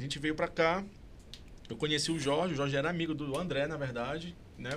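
The speech runs at a fairly quick pace. Noticeable background noise and audible room echo surround it. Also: man. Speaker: podcast host. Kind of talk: interview. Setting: studio. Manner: stuttering.

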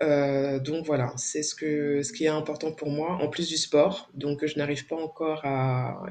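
A woman with a very deep, low pitch speaks in a fairly even intonation over noticeable background noise. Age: 40s. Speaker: founder of a women's support association. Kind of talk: interview. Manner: hesitant, many fillers.

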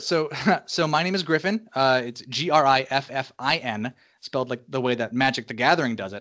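With a Mid-Atlantic American accent, a man speaks at medium pitch with lively intonation. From southeastern Pennsylvania. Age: 20s. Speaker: graphic designer. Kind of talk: casual interview. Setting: Skype call. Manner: halting, many fillers.

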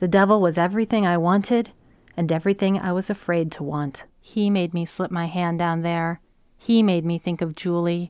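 An unremarkable speaking voice moves at a moderate pace on a very clean recording with a silent background. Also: woman, fairly low pitch for a woman, fairly even intonation. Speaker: essayist. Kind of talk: reading aloud.

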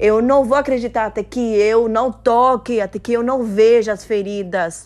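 A woman with a Spanish accent, fairly high-pitched, at a fairly slow pace and with fairly even intonation. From Cuba. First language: Spanish (speaking Portuguese). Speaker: devotional speaker. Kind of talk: devotional talk.

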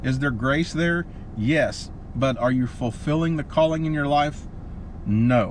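This is an ordinary speaking voice with an American accent. The pitch varies in an ordinary way. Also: man, fairly high pitch for a man. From Oklahoma. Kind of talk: casual faith-teaching chat.

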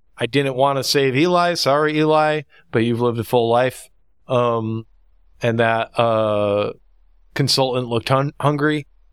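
On a very clean recording with a silent background, a man with an unremarkable speaking voice talks at a fairly slow pace and medium pitch, with ordinary pitch variation and very even loudness. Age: 30s. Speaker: podcast host. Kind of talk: casual chat.

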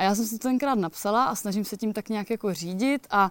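Delivered in an unremarkable speaking voice, a woman's fairly high-pitched speech comes at a fairly quick pace, dry and close with no echo, on a very clean recording with a silent background. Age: 30s. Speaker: hiker and author. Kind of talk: casual interview. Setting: outdoors at a mountain cottage.

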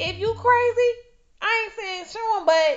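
With music in the background, a woman speaks fairly slowly in an animated tone, her pitch swinging very widely. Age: 30s. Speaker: podcast host. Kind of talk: casual monologue.

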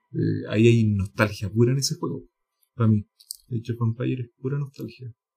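A man with a Chilean accent, medium pitch, dark, mellow tone, somewhat breathy quality, fairly even intonation and fairly quick pace. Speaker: podcast host. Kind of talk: casual chat.

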